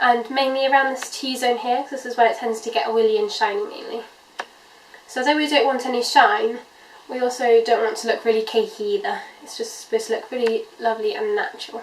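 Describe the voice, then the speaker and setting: A woman's high-pitched voice with lively intonation and big swings in loudness, amid audible room echo and noticeable background noise. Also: fairly quick pace. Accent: British. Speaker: beauty vlogger. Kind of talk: makeup tutorial. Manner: casual, many 'um' fillers.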